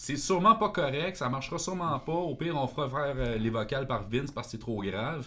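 A man with a Quebec accent, fairly high pitch, a bright, sharp tone and lively intonation, at a fairly quick pace with hardly any pauses. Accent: Québécois French. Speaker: metal guitarist. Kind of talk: casual chat.

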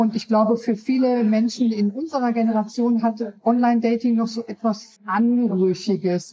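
At a fairly slow pace, a woman speaks with a fairly high pitch in a somewhat breathy voice that has a dark, mellow tone. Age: 50s. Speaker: author. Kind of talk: interview.

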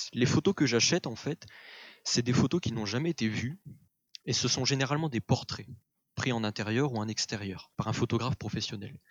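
A man with a medium-pitched voice talks at a fairly quick pace with ordinary pitch variation, broken up by long, frequent pauses. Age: 20s. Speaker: history student and photo colorist. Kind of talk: casual interview. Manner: hesitant, with filler words.

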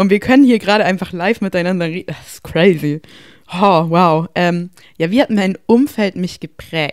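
Speaking at a moderate pace, a woman uses a medium pitch with ordinary pitch variation and big swings in loudness. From Bavaria, Germany. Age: 20s. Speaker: psychology student. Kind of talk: casual interview chat. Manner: animated.

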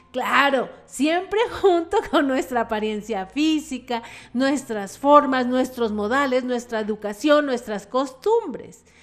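Over noticeable background noise, a woman with a high pitch and lively intonation speaks at a very slow pace. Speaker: radio host. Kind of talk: radio talk show monologue.

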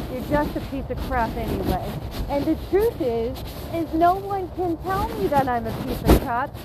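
Extremely high pitch from a woman, lively intonation, a moderate pace and noticeable background noise. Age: 30s. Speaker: faith and recovery podcast host. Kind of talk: casual motivational monologue. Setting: outdoors, walking dog downtown. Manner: animated.

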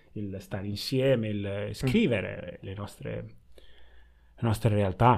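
A man talks at a very slow pace in a fairly low pitch. His loudness swings widely. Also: fairly even intonation. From Italy (born in Ghana). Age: 20s. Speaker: podcast guest, new father. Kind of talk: casual conversation. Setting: video call.

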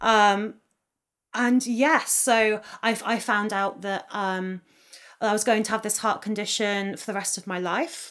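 Over a silent background in a very clean recording, a woman speaks at a fairly slow pace with fairly high pitch and fairly even intonation. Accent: southern English. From England, Oxfordshire countryside. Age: 20s. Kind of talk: casual interview.

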